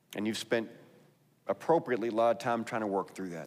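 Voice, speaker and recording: With a Texas accent, a man talks at a very fast pace. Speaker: pastor. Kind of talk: sermon.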